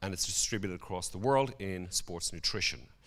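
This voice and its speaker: Fairly low-pitched and animated, a man talks with a Dublin accent at a fairly quick pace. Room echo is audible. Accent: Irish (Dublin). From Ireland, Dublin. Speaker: conference speaker. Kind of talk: conference presentation.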